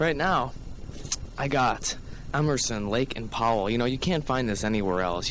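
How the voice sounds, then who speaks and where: Speaking with an American accent, a man uses a plain, everyday voice. His pace is moderate and his intonation lively. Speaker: college radio DJ. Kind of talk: college radio show host patter. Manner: casual, chatty, upbeat.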